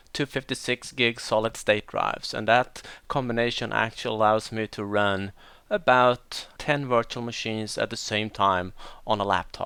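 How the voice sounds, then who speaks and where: A man's medium-pitched voice, bright and sharp, with a Swedish accent, at a moderate pace, on a very clean recording with a silent background. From Sweden, west coast. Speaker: IT deployment trainer. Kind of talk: technical training tutorial.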